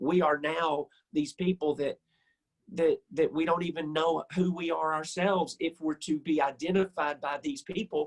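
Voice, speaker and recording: A man with a Southern US accent and a fairly high pitch talks at a moderate pace with fairly even intonation, the sound dry and close with no echo. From US South. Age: 60s. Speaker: musician. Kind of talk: interview.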